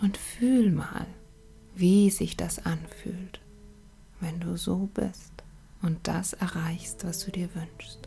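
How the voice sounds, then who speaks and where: Music plays in the background as a woman talks in a calm, soothing tone. She goes at a very slow pace with long, frequent pauses. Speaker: meditation guide. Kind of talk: guided meditation. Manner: slow, calm, soothing, with long pauses; gentle, measured, counting breaths in even rhythm.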